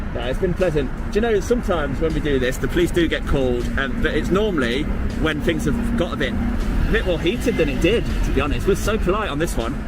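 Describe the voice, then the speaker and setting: A high-pitched man speaks at a very fast pace with lively intonation and very even loudness. Audible room echo and music in the background are present. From English Midlands. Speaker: auditor filming in public. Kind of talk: casual conversation with police.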